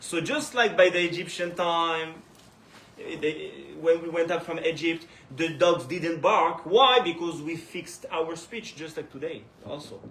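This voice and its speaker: With noticeable background noise and audible room echo, a man with a French accent talks fairly slowly in a high voice, his loudness swinging widely. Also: ordinary pitch variation. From France, Paris. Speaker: Torah teacher. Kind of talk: religious lecture. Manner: halting.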